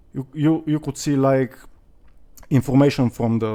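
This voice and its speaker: A man speaks at a moderate pace with a non-native accent, his medium-pitched voice dark and mellow, the intonation fairly even, on a very clean recording with a silent background. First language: not English. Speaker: crypto youtuber. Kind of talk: casual vlog monologue. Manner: hesitant, many fillers.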